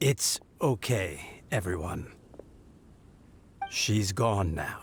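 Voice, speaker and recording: A put-on character voice from a man, fairly low in pitch, with a calm, soothing tone, lively intonation and a very slow pace. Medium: video game.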